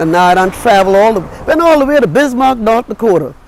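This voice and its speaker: A woman with a fairly high voice speaks at a fairly quick pace, her pitch swinging very widely over noticeable background noise. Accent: American. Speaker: storyteller. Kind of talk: interview answer.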